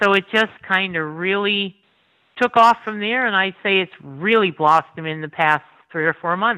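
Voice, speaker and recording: This woman has a Northeast Pennsylvania accent. Her pitch is medium. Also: ordinary pitch variation, moderate pace. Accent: Northeastern Pennsylvania. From Pennsylvania coal region, Schuylkill County. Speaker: food blogger. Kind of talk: casual chat.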